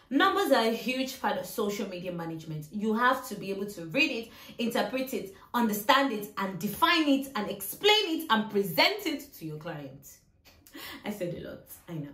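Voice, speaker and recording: A woman speaks at a fairly high pitch with very wide pitch swings and big swings in loudness. Audible room echo and noticeable background noise surround her. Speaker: social media manager and YouTuber. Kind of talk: tutorial. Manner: fast.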